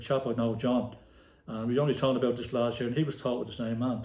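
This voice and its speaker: With a Dublin accent, a man speaks at a very fast pace in a dark, mellow tone and medium pitch, with audible room echo. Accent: Dublin inner-city Irish. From Ireland, inner-city Dublin. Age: 60s. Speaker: retired football manager and player, podcast guest. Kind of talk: casual interview. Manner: animated storytelling.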